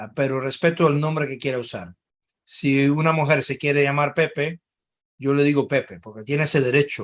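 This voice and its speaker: Loudness swings widely in this voice at a moderate pace. Pitch varies in an ordinary way. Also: man, fairly high pitch for a man. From Cuba, then Spain. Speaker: think tank analyst. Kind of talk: webinar talk. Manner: halting.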